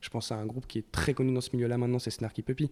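The man speaks with a French accent. His tone is dark and mellow. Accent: French-accented English when singing. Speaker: singer-guitarist in a rock band. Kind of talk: casual interview chat. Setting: radio studio. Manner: hesitant, with many fillers.

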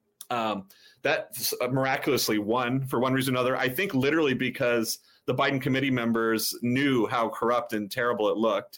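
This man has an ordinary speaking voice at medium pitch, talking at a fairly quick pace with fairly even intonation and very even loudness. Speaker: political activist, former candidate. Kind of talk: interview.

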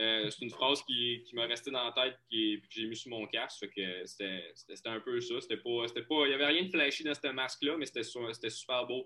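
At a moderate pace, a man of medium pitch speaks with ordinary pitch variation and big swings in loudness. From Quebec, Lac-Saint-Jean. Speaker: hockey goaltender. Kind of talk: interview. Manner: halting, many repetitions.

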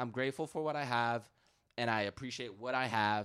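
Fairly quick and fairly even in intonation, a man speaks at medium pitch in an ordinary speaking voice. The recording is very clean, with a silent background. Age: 20s. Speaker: sneaker customizer. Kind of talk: casual chat.

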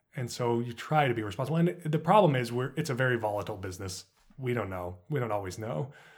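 Someone with an American accent speaks at a very fast pace with lively intonation. The voice is somewhat breathy. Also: man, medium pitch for a man. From US Southwest, Los Alamos, New Mexico. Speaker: screenwriter. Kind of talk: interview. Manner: halting, repeats words.

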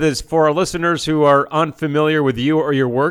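In a very clean recording with a silent background, a man with a fairly high pitch talks at a fairly quick pace in an unremarkable speaking voice. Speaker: radio host. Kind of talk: radio interview. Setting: studio.

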